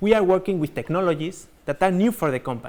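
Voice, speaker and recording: A man with a Spanish accent talks at a fairly quick pace in a high voice with ordinary pitch variation. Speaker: company executive. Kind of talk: corporate keynote presentation.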